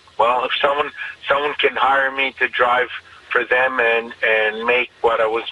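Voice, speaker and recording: Over noticeable background noise, the speaker moves at a fairly slow pace with fairly even intonation. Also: man. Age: 50s. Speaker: taxi driver. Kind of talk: radio interview. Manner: halting.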